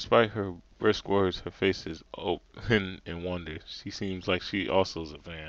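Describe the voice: Fairly even intonation in a plain read-aloud delivery.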